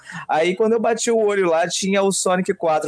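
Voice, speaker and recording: Ordinary pitch variation from a man at a fairly quick pace, with noticeable background noise behind him. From Brazil, São Paulo state interior. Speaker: podcast co-host. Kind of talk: casual chat.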